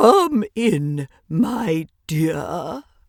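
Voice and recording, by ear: A woman does a put-on character voice, raspy and fairly low in pitch, with very wide pitch swings. The sound is dry and close, with no echo.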